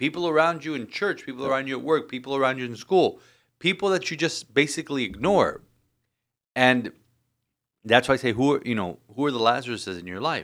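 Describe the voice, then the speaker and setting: A man with an ordinary speaking voice and a medium pitch talks at a fairly quick pace. His intonation is lively, and the recording is very clean with a silent background. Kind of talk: casual chat.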